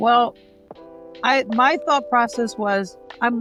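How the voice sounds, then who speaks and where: Music plays in the background as a woman with an American accent talks at a fairly slow pace. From New Jersey. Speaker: wrestling commentator and ring announcer. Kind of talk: interview answer.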